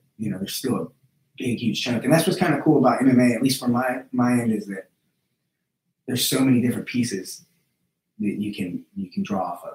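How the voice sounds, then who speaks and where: An unremarkable speaking voice from a man, medium in pitch, with ordinary pitch variation. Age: 30s. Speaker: jiu-jitsu instructor and former MMA fighter. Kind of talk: casual interview chat.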